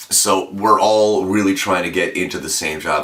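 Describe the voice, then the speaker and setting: Audible room echo colors the speech of a man. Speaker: radio announcer. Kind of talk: interview.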